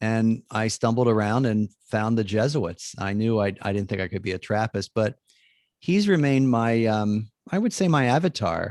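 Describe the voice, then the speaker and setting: In an American accent, a man speaks with an unremarkable speaking voice at medium pitch and moderate pace, with ordinary pitch variation. The sound is dry and close with no echo, on a very clean recording with a silent background. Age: 60s. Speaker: Jesuit priest and author. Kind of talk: interview conversation.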